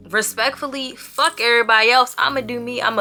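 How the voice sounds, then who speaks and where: Very fast speech from a woman, noticeable background noise all around. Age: 20s. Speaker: vlogger. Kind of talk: casual vlog monologue.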